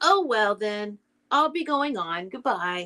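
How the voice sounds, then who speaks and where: Using a put-on character voice, a woman speaks at a fairly slow pace with a fairly high pitch. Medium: read story. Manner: gentle, simple.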